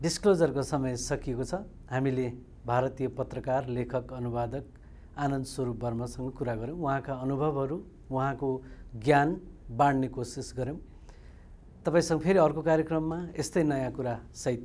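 Speaking very slowly with long, frequent pauses, a man with a Nepali accent uses a dark, mellow tone at a medium pitch with fairly even intonation. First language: Nepali (speaking Hindi). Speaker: TV interviewer; TV interview host. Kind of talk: formal programme presentation; interview. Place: studio. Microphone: lapel.

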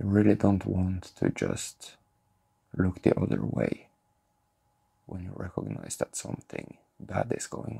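A man with a very deep, low pitch and a dark, mellow tone speaks at a fairly slow pace, somewhat breathy, against a quiet background. His pitch swings very widely, his loudness swings a lot, and he takes long, frequent pauses. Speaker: spiritual content creator. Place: home room.

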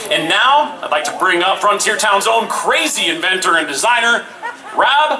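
A man is speaking. Noticeable background noise can be heard. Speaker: event presenter. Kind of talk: live event announcement. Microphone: pa.

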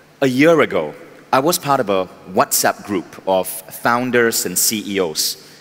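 A man's voice, its pitch varying in an ordinary way. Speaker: keynote speaker. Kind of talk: motivational talk. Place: stage. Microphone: headset.

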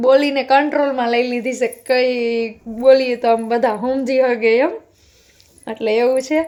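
The tone is playful. The intonation stays fairly even. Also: woman. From Gujarat, Amreli side. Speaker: homemaker vlogger. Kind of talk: casual vlog talk. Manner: talkative, playful.

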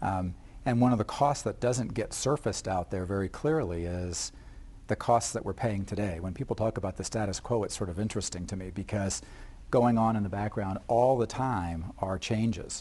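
The man's voice is fairly low, dark and mellow in tone, and somewhat breathy. He moves at a fairly quick pace with ordinary pitch variation. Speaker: family physician. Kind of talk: TV panel discussion. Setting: TV studio. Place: studio. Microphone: lapel.

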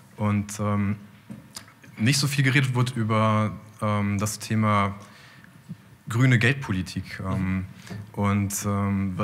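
The speaker is a man. His pitch rises and falls in an ordinary way. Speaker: audience member. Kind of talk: audience question. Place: hall. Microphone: handheld.

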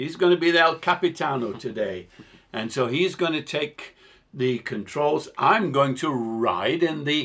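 Over a quiet background, a man talks at a fairly slow pace with very wide pitch swings. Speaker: host. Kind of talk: casual talk to camera. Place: home room.

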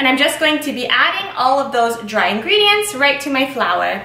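A woman's raised, projected voice with audible room echo. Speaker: home baker host. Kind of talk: tutorial. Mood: cheerful, friendly. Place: kitchen.

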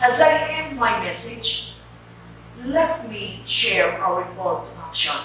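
Strong room echo and light background noise surround a woman's voice. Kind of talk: official message speech. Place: office.

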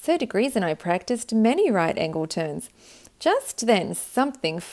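The recording carries an unforced reading voice.

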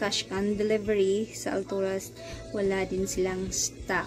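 There is clear music in the background as a woman speaks at a fairly slow pace in a monotone, flat tone. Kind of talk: casual vlog chat. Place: shop. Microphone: phone near.

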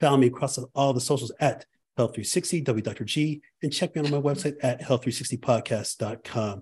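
A somewhat breathy male voice. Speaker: podcast host. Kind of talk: podcast intro. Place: home room.

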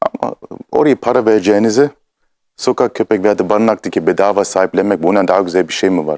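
A man speaks at a very fast pace in a fairly low pitch, with a dry, close sound and no echo. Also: ordinary pitch variation, very even loudness. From Germany, Munich (Turkish family from Istanbul). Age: 30s. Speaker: actor and producer. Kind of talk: interview.

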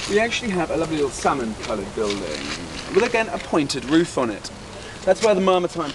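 A man with a British accent and a fairly high pitch at a fairly quick pace, over noticeable background noise. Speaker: tour guide. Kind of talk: guided tour talk to a group. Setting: outdoors. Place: open country. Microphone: camera far.

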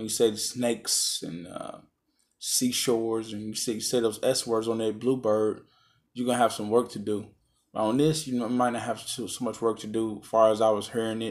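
Against a quiet background, a man speaks with a monotone, flat intonation. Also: moderate pace. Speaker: product reviewer. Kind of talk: casual review talk. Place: home room.

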